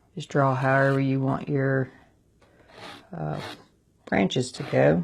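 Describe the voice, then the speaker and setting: A woman with a very deep, low voice talks at a fairly slow pace in a relaxed tone with ordinary pitch variation. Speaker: alcohol ink artist. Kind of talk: tutorial. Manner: casual, relaxed instruction.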